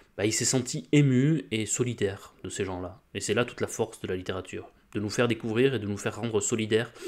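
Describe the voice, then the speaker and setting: On a very clean recording with a silent background, a man with a southwestern French accent speaks with fairly even intonation. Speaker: book YouTuber. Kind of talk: casual commentary.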